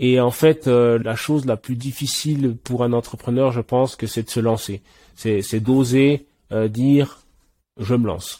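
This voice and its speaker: A man's dark, mellow voice at medium pitch, fairly slow and fairly even in intonation, on a very clean recording with a silent background. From Switzerland. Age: 20s. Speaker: app co-founder. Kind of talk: interview.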